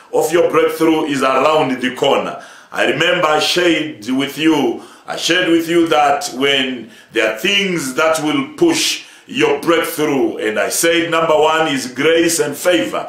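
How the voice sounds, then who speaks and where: With audible room echo, a man speaks at a fairly slow pace using ordinary pitch variation. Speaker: church overseer preaching. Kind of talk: sermon.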